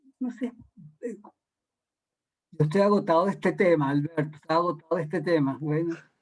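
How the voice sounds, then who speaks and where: Speaking at a fairly quick pace with ordinary pitch variation, a man with a high pitch leaves long, frequent pauses. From Venezuela. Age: 60s. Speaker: art critic leading a workshop. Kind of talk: lecture. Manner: halting, with repetitions.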